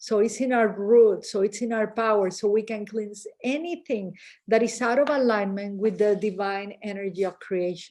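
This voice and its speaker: Against a quiet background, a woman speaks with a fairly high pitch and a dark, mellow tone. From Mexico. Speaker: spiritual teacher. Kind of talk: guided meditation. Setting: video call.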